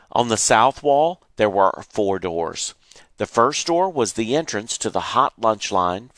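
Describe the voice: Plain reading aloud comes through with lively intonation.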